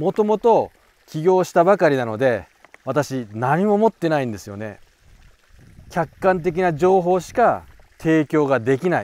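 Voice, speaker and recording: The voice moves slowly, with big swings in loudness and very wide pitch swings. The sound is dry and close, with no echo. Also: man, fairly high pitch for a man. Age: 40s. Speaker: koi breeder and broker. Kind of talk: casual monologue to camera.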